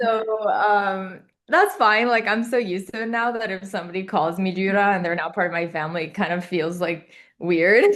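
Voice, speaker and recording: A woman with an Albanian accent, at a moderate pace with ordinary pitch variation, over a quiet background. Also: medium pitch for a woman. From Kosovo-born, raised in Zambia and Uganda international schools, then Maryland from 15. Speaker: MD-PhD student. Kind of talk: podcast interview. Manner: casual, conversational.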